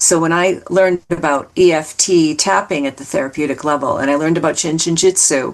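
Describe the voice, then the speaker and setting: Over noticeable background noise, a woman with a fairly low voice talks at a fairly quick pace, with fairly even intonation and hardly any pauses. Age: 60s. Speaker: anxiety coach and therapist. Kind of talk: interview conversation. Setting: podcast interview.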